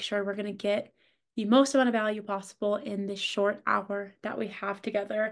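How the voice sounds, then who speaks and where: A woman's plain, everyday voice, fairly high in pitch, at a fairly quick pace with fairly even intonation. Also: quiet background. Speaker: marketing lead hosting a career workshop. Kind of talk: online workshop presentation. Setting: video call.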